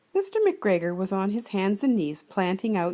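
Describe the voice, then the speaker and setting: A woman speaks at a medium pitch in an ordinary speaking voice. The recording is very clean, with a silent background. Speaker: grandmother reading to children. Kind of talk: children's storybook reading. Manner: warm, gentle, storytelling.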